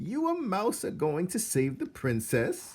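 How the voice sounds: A man's put-on character voice, high-pitched with very wide pitch swings, a slightly husky edge, a slightly mellow tone and a fairly slow pace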